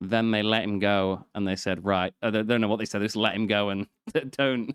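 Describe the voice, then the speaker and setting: A man's fairly low voice in a British accent, fairly quick and monotone, flat, with a dry, close sound and no echo. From Britain. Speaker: podcast host. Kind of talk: casual chat.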